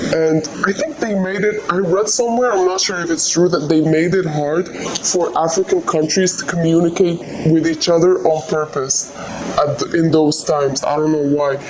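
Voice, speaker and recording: A woman with a fairly low pitch and ordinary pitch variation speaks at a moderate pace, with audible room echo and noticeable background noise. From Algeria. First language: Algerian Arabic. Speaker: migrant interviewee. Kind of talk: interview. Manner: halting.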